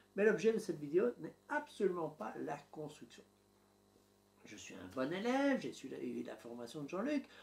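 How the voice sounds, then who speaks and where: A man talks with a strong Belgian accent. His loudness swings widely. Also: moderate pace. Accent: Belgian French, fairly strong. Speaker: YouTuber documenting home building. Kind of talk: vlog narration to camera. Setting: home office.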